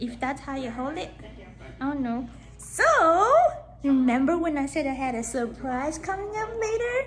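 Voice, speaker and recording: In a room with audible echo, a woman speaks high-pitched at a moderate pace with lively intonation. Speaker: vlogger. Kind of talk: casual vlog. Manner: soft-spoken.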